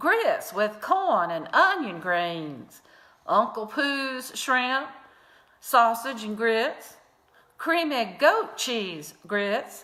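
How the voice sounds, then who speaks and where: Speaking in a Southern US accent, a woman with a fairly high pitch talks at a very slow pace with very wide pitch swings, and audible room echo surrounds her. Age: 60s. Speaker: comedy vlogger. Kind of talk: casual chat; comedic obituary reading.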